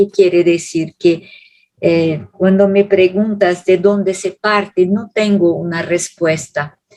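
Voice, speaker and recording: The woman's pitch is medium, and her intonation stays monotone and flat. Her pace is very slow. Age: 70s. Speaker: theologian lecturer. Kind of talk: Q&A answer at public lecture. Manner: halting.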